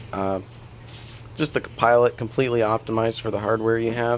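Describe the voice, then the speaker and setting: Monotone, flat intonation from a man at a medium pitch. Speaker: software developer. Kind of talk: dev log.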